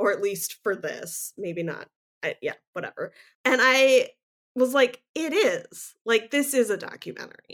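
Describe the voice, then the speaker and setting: Speaking fairly slowly, a woman uses a high pitch that swings very widely. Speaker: podcast co-host. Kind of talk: casual chat.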